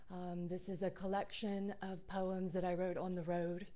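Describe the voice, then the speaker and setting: A woman's dark, mellow, fairly low voice at a moderate pace, with audible room echo. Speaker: poet. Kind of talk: poetry reading; casual introduction.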